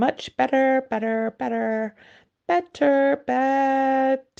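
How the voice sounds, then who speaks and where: Using a put-on character voice, a woman speaks very slowly in a squeaky, high pitch. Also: fairly even intonation. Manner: trailing into a bleat.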